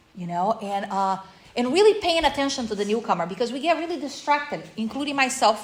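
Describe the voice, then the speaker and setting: An animated woman with a Portuguese accent, a fairly quick pace and very wide pitch swings. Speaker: recovery workshop speaker. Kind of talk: workshop talk.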